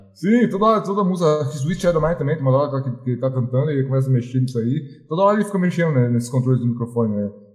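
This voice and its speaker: A man's fairly high-pitched voice at a very fast pace, hardly any pauses, over noticeable background noise. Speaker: rock music fan. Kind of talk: casual chat. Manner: halting.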